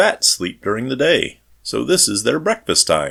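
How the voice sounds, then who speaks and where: Putting on a character voice, a man speaks at a high pitch. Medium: read story.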